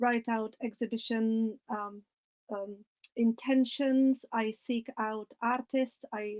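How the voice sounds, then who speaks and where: A woman with a non-native accent speaks in a fairly high pitch with monotone, flat intonation, the sound dry and close with no echo. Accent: foreign. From outside England, non-English country. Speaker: ceramicist and visual arts curator. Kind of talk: online webinar talk.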